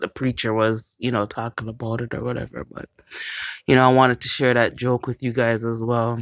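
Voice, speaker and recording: A woman's very deep, low voice in a dry, close sound with no echo. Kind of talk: casual talk to camera. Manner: chatty.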